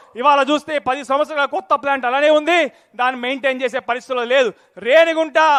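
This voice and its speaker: Over a dry, close sound with no echo, a man speaks at an extremely high pitch in a bright, sharp tone with fairly even intonation. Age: 30s. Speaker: politician. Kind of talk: political rally speech.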